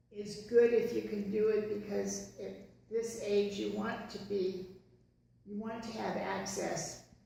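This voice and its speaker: A woman at a fairly slow pace, with big swings in loudness, audible room echo and noticeable background noise. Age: 70s. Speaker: podcast co-host. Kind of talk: casual chat. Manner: halting, many fillers.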